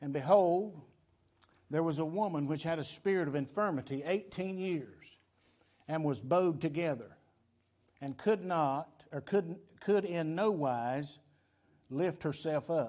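A man with a Southern US accent, fairly high in pitch, with a dark, mellow tone, ordinary pitch variation, a fairly slow pace and long, frequent pauses against a quiet background. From US South. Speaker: pastor. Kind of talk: sermon. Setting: church. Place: church.

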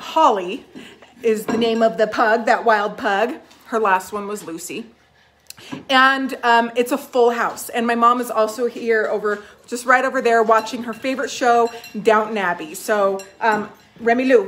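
A woman's voice with fairly even intonation over light background noise. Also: moderate pace. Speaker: magazine host. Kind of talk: casual live stream chat. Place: home room. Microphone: phone near.

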